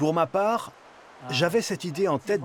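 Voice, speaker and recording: A man's lively intonation at a moderate pace over noticeable background noise. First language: Chinese (speaking French). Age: 60s. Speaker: retired motorcyclist. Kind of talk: interview.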